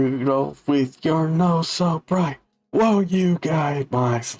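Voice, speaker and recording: A gruff, put-on character voice from a man, fairly high in pitch and very slow in pace. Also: ordinary pitch variation. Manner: harsh, gruff.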